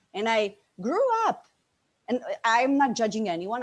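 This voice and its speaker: A woman speaks in a Bosnian accent. Her pace is fairly slow. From Slovenia, Bosnian immigrant family. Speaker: business coach. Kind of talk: interview testimony. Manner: animated.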